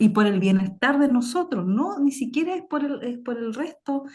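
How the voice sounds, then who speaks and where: Pitched high, a woman's voice moves along at a fairly slow pace. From southern Chile, Temuco area. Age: 40s. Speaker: author on Mapuche astronomy. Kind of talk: panel discussion. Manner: halting.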